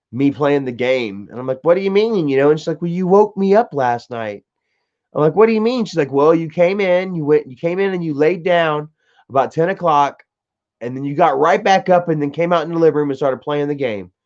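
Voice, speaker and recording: A man with a fairly high pitch, a fairly quick pace, lively intonation and a plain, everyday voice. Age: 30s. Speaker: live streamer. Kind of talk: casual chat. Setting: live stream at home. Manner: casual, laid-back.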